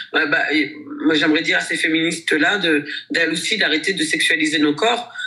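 Over noticeable background noise, a woman talks at a moderate pace with very even loudness. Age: 40s. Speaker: dancer, actress and dance teacher. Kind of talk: interview. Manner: hesitant, many fillers.

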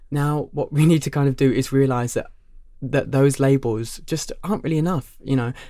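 On a very clean recording with a silent background, a man talks with a Cockney accent at a fairly high pitch. His tone is dark and mellow, his intonation fairly even, his pace moderate. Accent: Cockney London English. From London. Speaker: drag queen. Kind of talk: casual chat.

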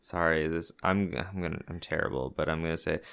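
Over a silent background on a very clean recording, a man with an American accent talks at a moderate pace in a very deep, low pitch. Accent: mild Canadian, could pass as American. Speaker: podcast co-host. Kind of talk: casual banter. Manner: joking, frequent laughter.

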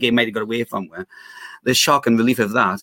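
With a Geordie accent, a man of medium pitch talks very fast, and the sound is dry and close with no echo. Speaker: guest football fan. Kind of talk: casual chat. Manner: enthusiastic.

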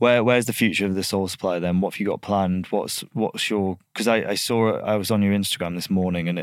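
On a very clean recording with a silent background, a man with a fairly low pitch talks at a very fast pace, with fairly even intonation and hardly any pauses. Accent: Lancashire. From northern England, Blackpool. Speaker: podcast host, agency founder. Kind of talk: casual interview chat. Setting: studio.

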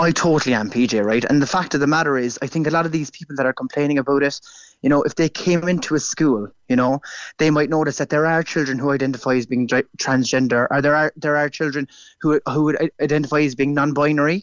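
A man with a Cork accent talks at a very fast pace. His pitch is fairly high and his intonation fairly even. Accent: Irish (Cork). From Ireland. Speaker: primary school teacher. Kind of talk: radio interview. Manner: halting, repeats words.

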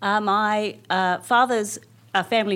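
A woman speaks in an Australian accent on a very clean recording with a silent background. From Canberra, Australia. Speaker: senior public servant. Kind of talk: interview.

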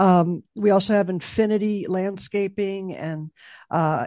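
In an American accent, a woman of medium pitch talks at a fairly slow pace over a quiet background. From Chicago. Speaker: memorial foundation executive director, military veteran. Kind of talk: interview. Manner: halting, many fillers.

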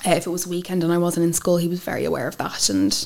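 The voice carries an Irish accent. The pace is very fast. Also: woman. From Ireland, with childhood years in France and Wales. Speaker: interview guest sharing life story. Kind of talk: personal testimony interview.

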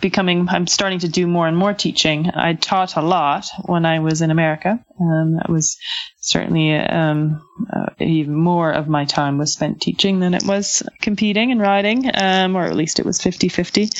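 Speaking at a moderate pace with a Canadian accent, a woman uses a fairly low pitch, ordinary pitch variation and very even loudness over noticeable background noise. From western Canada. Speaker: Olympic event rider. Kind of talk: interview. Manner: hesitant, many fillers.

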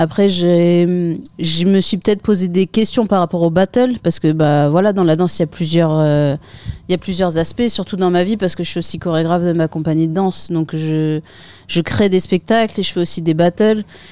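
This woman has an unremarkable speaking voice, fairly low in pitch with ordinary pitch variation. She goes at a moderate pace. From northern France, Picardy (Saint-Quentin). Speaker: breakdancer. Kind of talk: interview.

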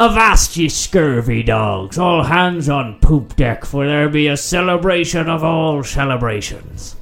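Putting on a character voice, a man speaks fairly slowly at a fairly high pitch, with faint music in the background. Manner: theatrical.

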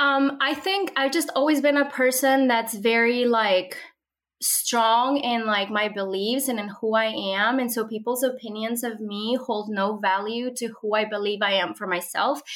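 This woman's voice has a warm, enthusiastic tone and a fairly high pitch. Her pace is moderate, and her pitch varies an ordinary amount. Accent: Spanish. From Mexico (Monterrey), moved to Minnesota at 12. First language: Spanish. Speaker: social media content creator and homeschooling mother. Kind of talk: interview. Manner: warm and enthusiastic.

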